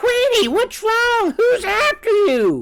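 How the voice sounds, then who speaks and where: A squeaky, extremely high-pitched put-on character voice is heard. It moves at a very slow pace. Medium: read story. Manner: barking.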